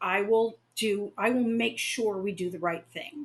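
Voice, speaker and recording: Her pitch is fairly high and moves in an ordinary way. A woman with a normal speaking voice talks at a moderate pace. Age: 60s. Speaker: local government communications director. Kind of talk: podcast interview.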